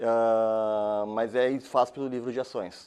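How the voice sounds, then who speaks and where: A man speaks against a quiet background. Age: 30s. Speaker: course instructor. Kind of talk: lecture. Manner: halting.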